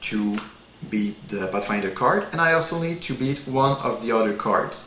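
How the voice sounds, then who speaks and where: A man talks at a fairly slow pace in a French accent, with lively intonation. Audible room echo and noticeable background noise surround him. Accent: non-native English, French. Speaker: card game demonstrator. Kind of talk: tutorial. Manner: halting, many fillers.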